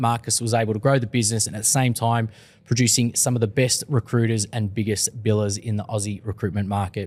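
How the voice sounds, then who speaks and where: In an Australian accent, a man of medium pitch talks at a very fast pace on a very clean recording with a silent background. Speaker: podcast host. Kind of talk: casual chat.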